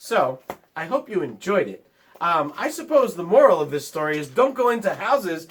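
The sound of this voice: Reading aloud in an unforced voice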